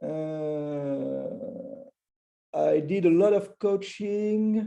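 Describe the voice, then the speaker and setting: Heard with audible room echo, a man with a high pitch and a dark, mellow tone speaks with ordinary pitch variation. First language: French. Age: 50s. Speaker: agile coach and conference speaker. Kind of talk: conference talk. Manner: halting, many fillers.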